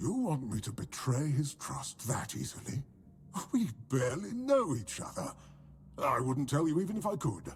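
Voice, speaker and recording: Against clear background noise, a man does a put-on character voice at a fairly high pitch and a moderate pace. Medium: video game. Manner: chatty, fussy about manners.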